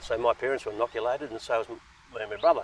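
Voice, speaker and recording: Someone talks at a very fast pace with an Australian accent. Background noise is noticeable. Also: man. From Australia, Central West New South Wales. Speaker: post-war migrant telling his life story. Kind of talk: interview, personal life story. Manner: hesitant, many fillers.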